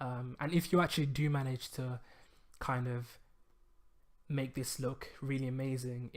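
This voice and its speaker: A man mumbles at a medium pitch. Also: very clean recording, silent background. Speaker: web design tutorial youtuber. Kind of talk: tutorial. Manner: mumbling; hesitant, many fillers.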